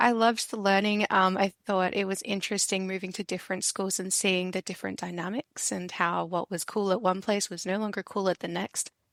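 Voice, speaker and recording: Speaking at a fairly quick pace with an Australian accent, a woman holds a medium pitch and fairly even intonation, captured in dry, close sound with no echo on a very clean recording with a silent background. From Adelaide, Australia. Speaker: university librarian. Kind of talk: casual interview.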